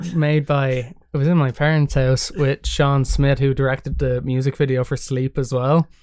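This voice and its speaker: A man with an Irish accent at a fairly high pitch, in a monotone, flat intonation with very even loudness, a moderate pace and hardly any pauses. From Ireland. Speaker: musician. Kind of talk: casual chat.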